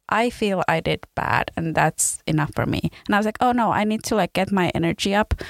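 A woman talks fairly quickly in a normal speaking voice, medium in pitch with ordinary pitch variation and very even loudness. Hardly any pauses break her speech, and the sound is dry and close with no echo. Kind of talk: casual interview.

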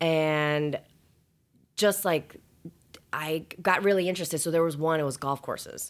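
Speech at a moderate pace, with fairly even intonation and long, frequent pauses, comes through on a very clean recording with a silent background. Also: woman, fairly low pitch for a woman. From Chicago area, Schaumburg. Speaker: title company director and attorney. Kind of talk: casual interview.

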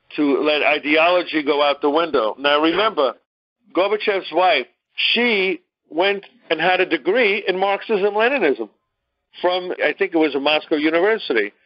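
Speaking at a moderate pace with a Brooklyn accent, a man keeps his loudness very even and his pitch variation ordinary, leaving long, frequent pauses. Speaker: discussion leader giving a history lecture. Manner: conversational, lecturing.

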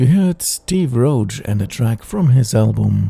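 With very wide pitch swings and a warm tone, a man at medium pitch talks at a fairly slow pace. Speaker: radio DJ. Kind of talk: radio DJ patter introducing ambient tracks. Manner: smooth, warm, unhurried presenter delivery; enthusiastic, upbeat, inviting.

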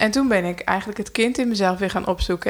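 This is an ordinary speaking voice. It moves at a fairly quick pace. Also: woman. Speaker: podcast co-host. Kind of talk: casual chat.

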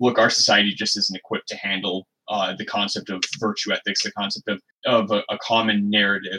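Bright and sharp in tone, a man with an American accent speaks fairly quickly at a fairly low pitch. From US Midwest, Michigan. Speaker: podcast co-host. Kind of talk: casual chat.

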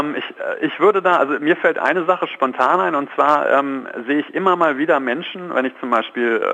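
A man's lively intonation and fairly quick pace come through above noticeable background noise. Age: 30s. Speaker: positive psychologist and coach. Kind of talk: radio phone interview. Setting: phone call.

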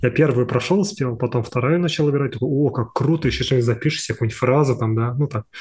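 Talking at a very fast pace, a man with a medium pitch and ordinary pitch variation sounds somewhat breathy. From Buryatia, Siberia, Russia. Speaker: motion designer and artist. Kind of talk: casual interview chat. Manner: halting, rambling, filler words.

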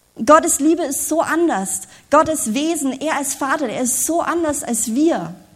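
A woman with a high voice speaks at a moderate pace, and some room echo can be heard. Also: lively intonation. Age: 30s. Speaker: preacher. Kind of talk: sermon.

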